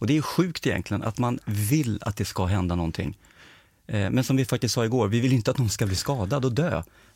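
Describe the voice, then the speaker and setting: Somewhat breathy, a man talks at a fairly quick pace and medium pitch with lively intonation. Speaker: podcast host. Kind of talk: casual chat. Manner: firm, clear.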